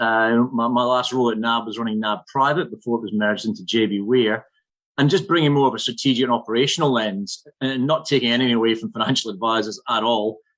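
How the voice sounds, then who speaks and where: A man at medium pitch with a Scottish accent, talking at a fairly quick pace. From Scotland. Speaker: financial services general manager. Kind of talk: podcast interview.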